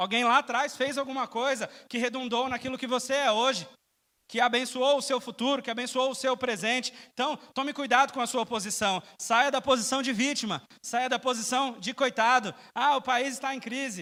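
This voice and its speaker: An extremely high-pitched man speaks in a raised, projected voice with a bright, sharp tone. His intonation is fairly even, and the recording is very clean with a silent background. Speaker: preacher. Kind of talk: sermon. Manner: fast.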